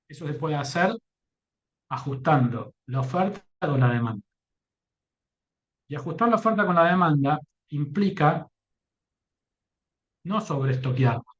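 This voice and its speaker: The voice is somewhat breathy, with lively intonation and long, frequent pauses. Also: man, fairly high pitch for a man. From Argentina. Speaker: company executive speaking on publishing. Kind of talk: conference talk.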